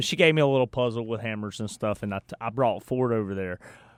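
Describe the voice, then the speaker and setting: On a very clean recording with a silent background and a dry, close sound with no echo, a man with a Southern US accent speaks at a medium pitch with ordinary pitch variation. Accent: Southern US drawl. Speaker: radio host. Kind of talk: casual chat. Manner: animated.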